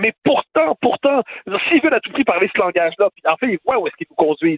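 Very wide pitch swings from a man talking at a very fast pace. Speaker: political commentator. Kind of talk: opinion debate.

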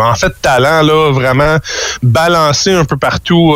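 There is noticeable background noise behind this man, whose voice sits fairly high in pitch. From Quebec, Gatineau. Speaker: professional baseball player. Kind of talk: radio interview.

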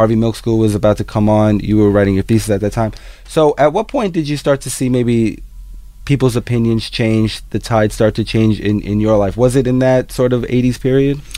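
An unremarkable speaking voice at a fairly quick pace with fairly even intonation. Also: man, medium pitch for a man. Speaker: radio interviewer. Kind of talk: interview.

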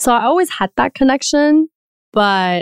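With lively intonation, a woman speaks in a Taiwanese-American accent on a very clean recording with a silent background and a dry, close sound with no echo. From Taiwan, moved to the US at 11 or 12. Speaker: podcast network co-founder. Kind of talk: interview conversation.

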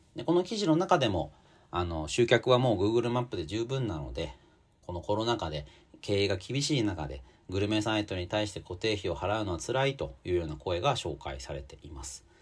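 Here a man with a fairly low pitch talks at a fairly quick pace. His pitch swings are very wide. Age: 40s. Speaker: magazine editor and podcast host. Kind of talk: solo commentary podcast. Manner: casual with many filler words.

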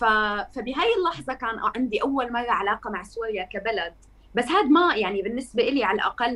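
A woman speaks at a moderate pace in a fairly high pitch with lively intonation. There is noticeable background noise. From Syria, Masyaf and Damascus. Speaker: journalist and activist. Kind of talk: podcast interview.

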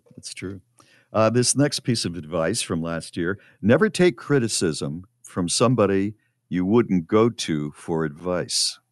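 Over a quiet background, a man with a plain, everyday voice talks at a fairly slow pace in a fairly low pitch with lively intonation, the sound dry and close with no echo. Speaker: radio host. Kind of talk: casual chat.

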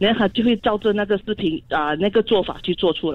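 At a fairly quick pace, a woman speaks with medium pitch. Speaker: radio caller. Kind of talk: casual chat. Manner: halting.

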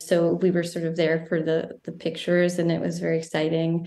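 Audible room echo surrounds a woman speaking at a fairly low pitch with an American accent. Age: 30s. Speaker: filmmaker and writer. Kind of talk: interview.

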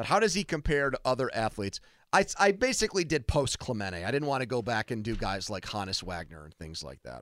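Very fast speech with vocal fry, very wide pitch swings and big swings in loudness comes through a very clean recording with a silent background. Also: man, medium pitch for a man. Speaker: radio sports talk host. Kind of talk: casual sports talk debate. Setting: radio studio.

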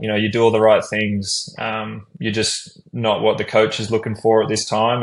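In an Australian accent, a man talks with a fairly low pitch and fairly even intonation. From Brisbane, Australia. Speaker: professional basketball player. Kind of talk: casual interview.

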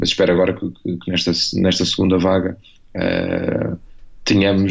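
Against noticeable background noise, a man talks at a moderate pace in a very deep, low pitch with monotone, flat intonation. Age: 40s. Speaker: novelist. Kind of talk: radio interview. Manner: halting, many fillers and repetitions.

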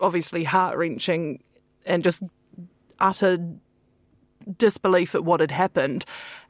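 A woman's fairly low voice in a New Zealand accent, fairly even in intonation, on a very clean recording with a silent background. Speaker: foreign correspondent. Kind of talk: panel discussion.

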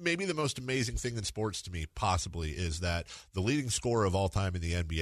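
In a quiet background, a man speaks fairly quickly in a playful, somewhat breathy voice with lively intonation. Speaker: radio host. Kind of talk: casual radio interview. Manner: joking, playful.

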